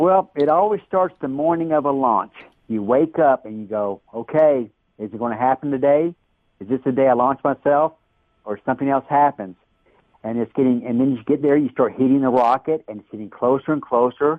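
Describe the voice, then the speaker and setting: A man with an unremarkable speaking voice talks at a fairly quick pace, his loudness swinging widely. His pitch is medium with ordinary variation. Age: 60s. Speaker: daredevil rocket builder. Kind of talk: interview.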